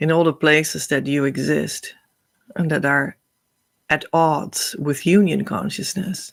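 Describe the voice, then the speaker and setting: A woman speaks at a fairly slow pace. Her pitch is fairly low, with ordinary variation. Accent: Dutch. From Netherlands. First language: Dutch. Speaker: spiritual teacher. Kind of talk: spiritual teaching talk. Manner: halting.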